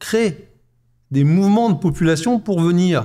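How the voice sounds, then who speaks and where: A man speaks in a high pitch with a dark, mellow tone at a fairly slow pace. The recording is very clean, with a silent background. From France. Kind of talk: live panel discussion. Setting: stage with live audience.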